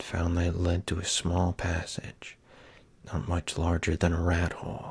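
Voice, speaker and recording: A man whispering at a fairly slow pace. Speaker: ASMR creator. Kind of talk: storybook reading. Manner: soft-spoken.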